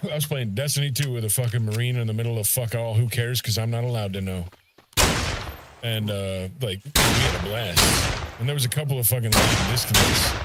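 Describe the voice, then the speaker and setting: With an American accent and an animated tone, a man talks at a fairly quick pace. Noticeable background noise and audible room echo are present. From US Midwest, East St. Louis, Illinois. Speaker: gaming streamer. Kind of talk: casual chat.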